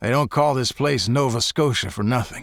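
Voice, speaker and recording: Using a raspy, put-on character voice, a man of medium pitch speaks at a moderate pace with ordinary pitch variation in a very clean recording with a silent background. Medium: read story. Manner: chatty, folksy.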